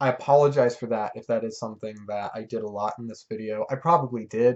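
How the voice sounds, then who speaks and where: A man talks at a fairly quick pace at medium pitch. His is an unremarkable speaking voice. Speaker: music reviewer. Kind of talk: album review monologue. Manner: casual, with fillers and restarts.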